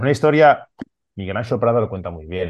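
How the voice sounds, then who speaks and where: This voice belongs to a man. Its pitch rises and falls in an ordinary way. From Barcelona, Catalonia, Spain. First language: Catalan (speaking Spanish). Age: 40s. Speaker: comics artist. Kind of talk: interview.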